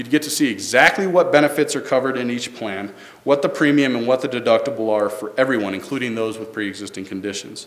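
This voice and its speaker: A man speaks at a very fast pace with hardly any pauses and ordinary pitch variation, over noticeable background noise. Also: medium pitch for a man, big swings in loudness. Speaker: government staffer presenting health reform. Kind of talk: public presentation.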